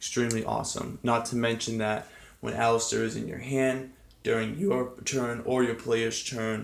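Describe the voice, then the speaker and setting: Monotone, flat intonation comes at a moderate pace, with audible room echo and noticeable background noise. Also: man, medium pitch for a man. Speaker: card game player reviewing his deck. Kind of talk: casual deck tutorial. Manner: hesitant, many fillers.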